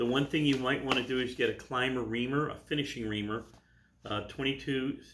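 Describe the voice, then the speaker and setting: A man with an unremarkable speaking voice talks at a moderate pace. His intonation is fairly even. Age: 60s. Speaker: gunsmith. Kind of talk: Q&A with stories. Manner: casual.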